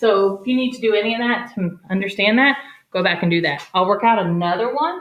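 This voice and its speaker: With audible room echo, a woman of fairly high pitch talks at a very fast pace with lively intonation. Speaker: elementary math teacher. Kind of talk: tutorial. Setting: garage. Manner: animated.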